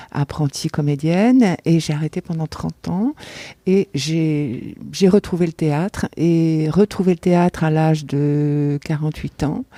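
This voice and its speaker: In a dry, close recording with no echo, a woman speaks very slowly in a very deep, low voice with a dark, mellow tone and ordinary pitch variation. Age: 60s. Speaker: amateur actress, theatre spectator. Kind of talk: interview testimony. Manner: halting, many hesitations and repetitions.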